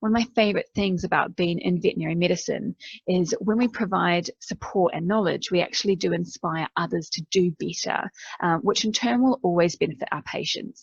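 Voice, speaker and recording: Fairly quick speech from a woman at medium pitch with ordinary pitch variation and vocal fry, the sound dry and close with no echo. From New Zealand. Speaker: veterinary nurse. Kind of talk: keynote presentation.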